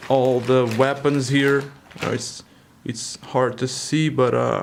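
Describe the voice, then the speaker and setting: A man with a medium pitch speaks at a very slow pace. His intonation is monotone and flat, over noticeable background noise. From Europe. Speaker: toy collector vlogger. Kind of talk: casual product overview. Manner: halting, many fillers.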